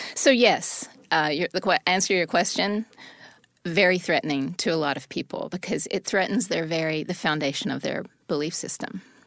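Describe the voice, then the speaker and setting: A normal speaking voice with an American accent, at a moderate pace and with ordinary pitch variation, on a very clean recording with a silent background. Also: woman, fairly low pitch for a woman. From US South. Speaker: wife of exonerated prisoner. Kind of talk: interview.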